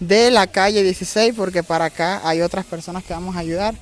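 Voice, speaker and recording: Fairly quick speech from a man in a Cuban accent, with ordinary pitch variation, dry and close with no echo. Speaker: YouTuber doing charity visits. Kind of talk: vlog narration and street interviews. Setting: outdoors in streets.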